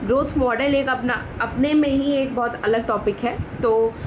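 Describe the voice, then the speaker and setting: Over noticeable background noise, a woman speaks with ordinary pitch variation. Room echo can be heard. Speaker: biology teacher. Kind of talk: lecture. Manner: code-switching Hindi and English.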